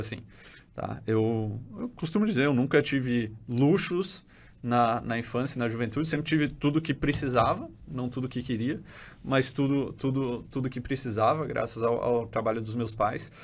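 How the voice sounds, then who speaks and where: Fairly even intonation and a moderate pace from a man at a medium pitch. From Brazil, Florianópolis (born in Rio de Janeiro). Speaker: podcast host and digital product entrepreneur. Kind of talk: interview. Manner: casual, hesitant with frequent self-corrections.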